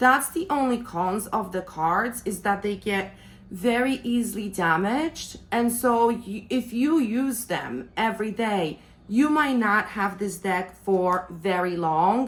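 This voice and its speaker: With a non-native accent, a woman speaks at a very slow pace in a fairly high, somewhat breathy voice with lively intonation. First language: not English. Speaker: tarot reader and deck reviewer. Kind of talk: product review.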